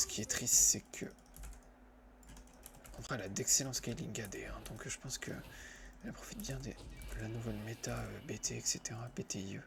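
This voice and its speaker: Soft-spoken, a man talks at a moderate pace. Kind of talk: ASMR gameplay commentary while playing a video game. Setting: recorded while gaming at a computer with a headset.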